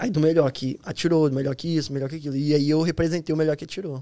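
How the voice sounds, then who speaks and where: The recording is very clean, with a silent background. A man speaks at a very fast pace with a fairly high pitch. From Rio de Janeiro state, Brazil (Nova Iguaçu, Petrópolis). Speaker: US Army soldier. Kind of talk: casual interview chat.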